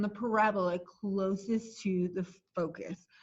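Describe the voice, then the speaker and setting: Intonation here stays fairly even. There is a somewhat breathy quality to the voice. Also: woman. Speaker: math teacher. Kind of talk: lecture. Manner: slow.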